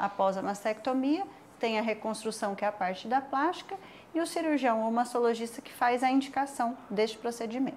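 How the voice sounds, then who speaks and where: This woman's pitch is high, with ordinary variation. She talks at a moderate pace. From São José do Rio Preto, São Paulo interior, Brazil. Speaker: micropigmentation specialist. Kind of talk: interview. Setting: studio.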